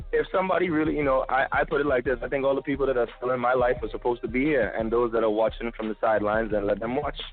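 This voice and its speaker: A man with an American accent at a medium pitch, very fast with hardly any pauses, ordinary pitch variation and noticeable background noise. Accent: Trinidadian accent he can switch on and off. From Brooklyn, New York, Caribbean family. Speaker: actor. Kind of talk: casual chat. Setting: phone call.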